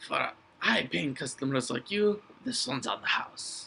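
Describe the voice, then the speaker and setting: A put-on character voice at a low-to-middle pitch moves along at a moderate pace. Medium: actual play. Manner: folksy, hearty, salesman-like.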